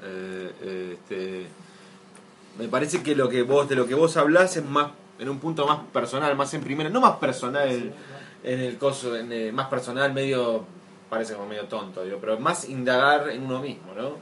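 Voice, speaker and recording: Medium-pitched male speech at an average tempo, ordinary in its pitch movement, over noticeable background noise. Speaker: podcast host. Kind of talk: casual chat.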